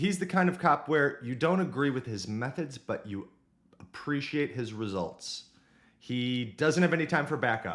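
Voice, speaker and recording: In a normal speaking voice with an American accent, a man talks at a moderate pace, his fairly high pitch carrying lively intonation. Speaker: book discussion youtuber. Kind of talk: casual book summary monologue. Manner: casual, humorous.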